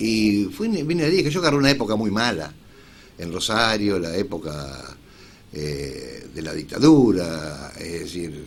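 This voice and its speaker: A man with a Rioplatense accent, very deep and low in pitch, with very wide pitch swings, a fairly slow pace and noticeable background noise. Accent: Argentine Rioplatense Spanish. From Rojas, Buenos Aires, Argentina. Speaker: journalist and radio announcer. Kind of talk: interview answer. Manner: casual, conversational.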